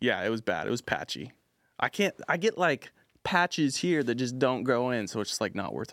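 A man with an American accent speaks at a moderate pace in a medium pitch with vocal fry and very wide pitch swings, recorded very cleanly against a silent background with a dry, close sound and no echo. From US West Coast, Orange County, California. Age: 20s. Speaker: social media music promoter. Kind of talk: casual chat.

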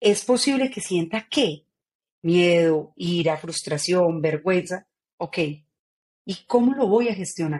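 A woman's fairly low voice at a very slow pace, broken by long, frequent pauses. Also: lively intonation. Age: 40s. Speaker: author and neurocoach. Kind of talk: interview. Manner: animated.

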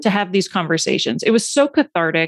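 Her voice is an unremarkable speaking voice, medium in pitch with lively intonation, heard as a woman over a quiet background in a dry, close sound with no echo. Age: 40s. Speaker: ADHD coach and podcaster. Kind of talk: casual interview chat.

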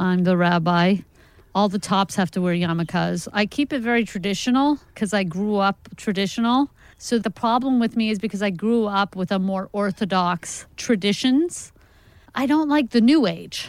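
A woman with an American accent, medium pitch, ordinary pitch variation and a moderate pace, an ordinary speaking voice, in a very clean recording with a silent background. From New York. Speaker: stand-up comedian. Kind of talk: stand-up; casual chat. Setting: stage with audience; studio.

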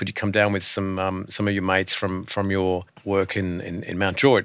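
A man with an Australian accent speaks at a fairly quick pace in a fairly low voice. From rural Australia. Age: 50s. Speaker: charity board chair. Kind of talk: casual chat. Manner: halting.

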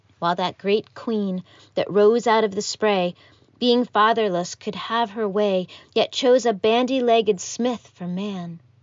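Someone speaks in a plain, everyday voice at a fairly slow pace with fairly even intonation. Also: woman, fairly high pitch for a woman. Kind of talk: poetry reading (erasure poem).

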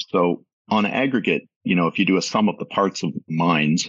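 A man's voice with a Canadian accent and vocal fry. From Toronto, Canada. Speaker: finance executive. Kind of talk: interview.

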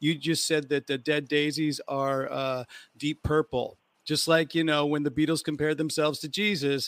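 A man with a plain, everyday voice and an American accent, fairly high in pitch with fairly even intonation at a moderate pace, in a dry, close sound with no echo. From United States. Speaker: podcast host and musician. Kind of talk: casual interview on live stream. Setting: hotel room on tour, remote live stream.

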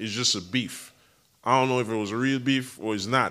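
Speaking at a moderate pace, a man has a bright, sharp tone and ordinary pitch variation. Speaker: former celebrity bodyguard. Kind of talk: podcast interview. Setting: studio. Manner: animated.

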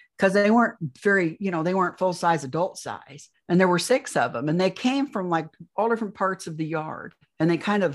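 An unremarkable speaking voice with ordinary pitch variation comes through over a quiet background. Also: woman. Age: 60s. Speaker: alien abduction experiencer and author. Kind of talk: interview testimony.

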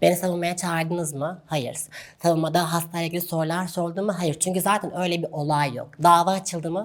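This woman's voice sits fairly low in pitch. It stays monotone and flat in intonation. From Turkey, Gaziantep. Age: 20s. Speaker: doctor. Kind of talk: interview.

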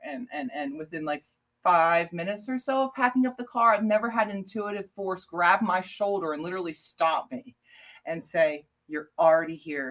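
A woman with a plain, everyday voice, medium in pitch, talks at a moderate pace with lively intonation and an American accent. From Pennsylvania, Bucks County. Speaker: artist and small business owner. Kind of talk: casual interview.

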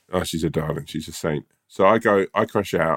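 The speaker is a man with a British accent. His pitch is very deep and low. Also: dry, close sound with no echo, very clean recording, silent background. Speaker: podcast co-host. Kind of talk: casual chat.

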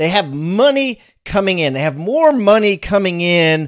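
An ordinary speaking voice from a man, with lively intonation at a fairly slow pace. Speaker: podcast host.

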